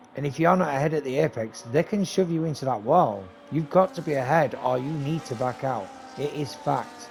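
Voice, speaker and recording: A man's fairly high voice at a fairly quick pace, with lively intonation and noticeable background noise. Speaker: esports league race commentator and streamer. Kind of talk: live commentary. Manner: animated.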